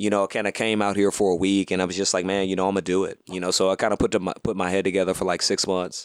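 A man with an American accent and a very deep, low pitch speaks at a very fast pace with hardly any pauses and monotone, flat intonation, in a very clean recording with a silent background. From US South, Houston, Texas. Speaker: comedian. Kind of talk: casual chat.

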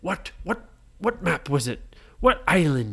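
This put-on character voice sits at a low-to-middle pitch. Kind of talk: bedtime story. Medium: read story.

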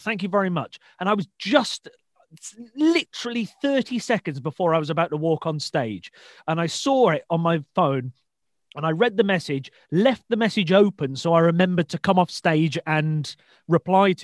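A man with a West Midlands accent, high-pitched and lively in intonation, recorded with a dry, close sound with no echo against a quiet background. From English Midlands, Shrewsbury. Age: 20s. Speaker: podcast host, stand-up comedian. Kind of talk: casual interview chat.

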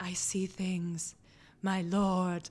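A woman's put-on character voice, medium in pitch, flat and monotone, on a very clean recording with a silent background. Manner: dramatic, theatrical.

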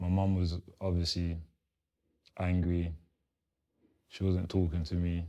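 Over a quiet background, a man with a London accent speaks at a fairly slow pace with a very deep, low pitch and a dark, mellow tone. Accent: London multicultural English. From South East London (Lewisham), arrived from Congo as a young child. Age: 20s. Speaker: former gang member, ex-prisoner. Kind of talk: interview, personal life story. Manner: casual, frequent fillers.

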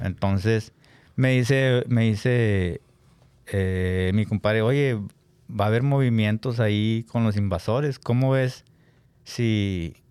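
A man's medium-pitched voice at a very slow pace, with ordinary pitch variation and very even loudness. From Nuevo León, Mexico. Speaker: accordion player in a regional Mexican band. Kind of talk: casual interview chat.

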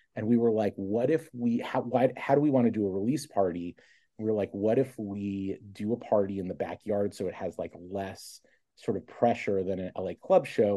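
Over a quiet background, a man talks at a moderate pace in a fairly low, dark, mellow voice with ordinary pitch variation. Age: 40s. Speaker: rock band frontman and food editor. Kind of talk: casual chat. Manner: halting.

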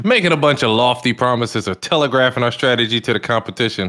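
Here is a man with a normal speaking voice and ordinary pitch variation. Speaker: podcast co-host. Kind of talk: casual chat.

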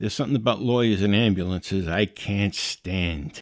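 The background is silent and the recording very clean as a man talks at a moderate pace. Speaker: podcast host. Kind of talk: solo podcast monologue, casual. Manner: casual, chatty.

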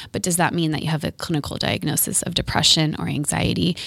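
A woman's calm, soothing tone with vocal fry, in an American accent, at a fairly quick pace. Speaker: therapist. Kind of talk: casual chat. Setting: studio.

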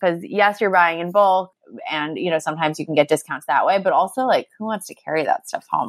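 A normal speaking voice moves at a fairly quick pace with ordinary pitch variation and big swings in loudness, in a dry, close sound with no echo. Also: woman, fairly low pitch for a woman. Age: 30s. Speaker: author and journalist. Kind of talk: interview. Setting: call. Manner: casual, filler-heavy.

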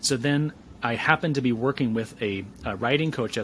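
In a normal speaking voice, a man with an American accent talks at a medium pitch with lively intonation. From US Midwest, West Michigan. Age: 40s. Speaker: author and career coach. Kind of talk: podcast interview.

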